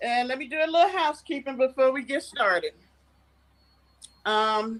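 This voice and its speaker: This woman speaks with a Southern US accent. Her intonation is lively. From US South. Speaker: livestream host and interviewer. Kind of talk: casual livestream chat. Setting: live stream with chat.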